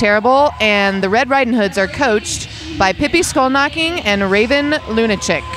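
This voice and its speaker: A high-voiced woman speaks at a moderate pace with lively intonation and very even loudness. The sound is dry with no echo, and faint music plays in the background. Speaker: roller derby commentator and skater; roller derby commentator. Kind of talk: sports commentary, explaining rules and jams; sports commentary. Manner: casual, chatty, jokey. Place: hall.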